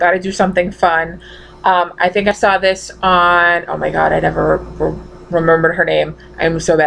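A woman with a strong Massachusetts accent over light background noise. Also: moderate pace. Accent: thick Massachusetts. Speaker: vlogger. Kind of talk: casual talk to camera. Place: home room. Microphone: webcam.

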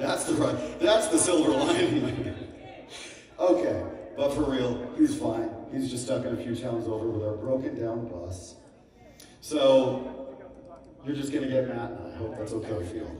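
A man speaks at a moderate pace with lively intonation and long, frequent pauses, amid audible room echo and light background noise. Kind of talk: stage banter. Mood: joking, playful. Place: stage.

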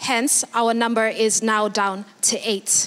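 Her pace is moderate. The speaker is a woman. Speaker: TV show host. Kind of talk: show hosting announcement. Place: stage. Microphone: handheld.

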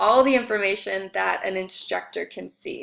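The voice belongs to a woman. Behind her, all is quiet. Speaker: instructor. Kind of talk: lecture. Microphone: webcam.

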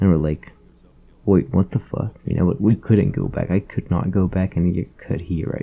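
Ordinary pitch variation in a man's very deep, low voice. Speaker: YouTuber. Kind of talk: angry profane rant about hating fish, casual commentary. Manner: animated, ranting, loud and exasperated, swearing constantly; rapid, repetitive, filler-heavy ("you know", "bro").

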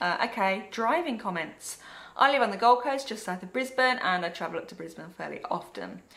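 A woman with a fairly high pitch and a bright, sharp tone talks at a fairly quick pace, with vocal fry and big swings in loudness. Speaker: travel and migration blogger; migration blogger. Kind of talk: reading aloud viewer comments. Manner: casual, laughs often. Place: home room.

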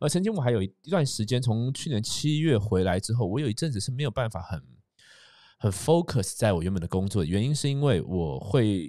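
On a very clean recording with a silent background, a man with a Taiwanese accent talks fairly quickly, his pitch swinging very widely. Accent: Taiwanese Mandarin. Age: 30s. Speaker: podcast host and entrepreneur. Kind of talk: casual monologue. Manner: hesitant, many fillers.

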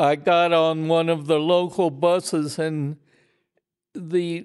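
A man speaks at a very slow pace in a high voice. The background is quiet. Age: 80s+. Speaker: retired falconer. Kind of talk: interview answer. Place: home room.

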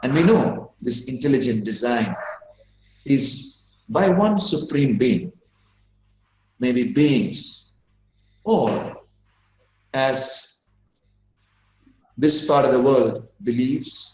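A somewhat breathy man speaks at a very slow pace with long, frequent pauses, and room echo is audible. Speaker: guest lecturer. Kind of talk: lecture. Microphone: video call.

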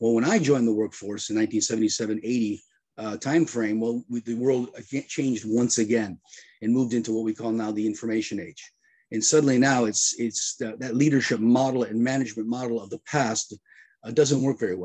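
Over a quiet background, a man's dark, mellow tone carries fairly even intonation. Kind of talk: interview answer. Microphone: video call.

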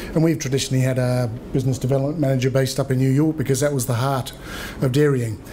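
A man with a New Zealand accent at a very fast pace, monotone and flat in intonation, with very even loudness and light background noise. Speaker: trade agency regional manager; presenter. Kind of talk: seminar presentation. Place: meeting room. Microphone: podium.

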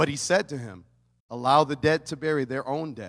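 Male voice, moderate speed, quiet surroundings. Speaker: pastor. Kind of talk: sermon. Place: church. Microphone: handheld.

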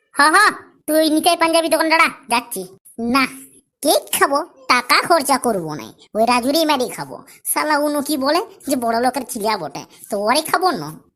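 Here is a cartoonish character voice with lively intonation. It moves at a moderate pace. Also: woman, high pitch for a woman. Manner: whiny, stubborn, argumentative.

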